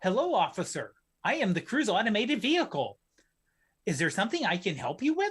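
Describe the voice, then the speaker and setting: Fairly quick and fairly high, this robotic, put-on character voice swings very widely in pitch. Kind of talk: polite, customer-service.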